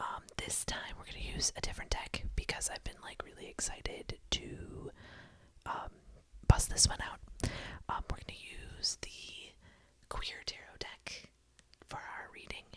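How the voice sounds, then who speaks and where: Whispering in a gentle tone, the speaker moves at a fairly slow pace with long, frequent pauses. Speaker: ASMR tarot reader. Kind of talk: ASMR tarot reading, whispered affirmations. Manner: whispered, gentle.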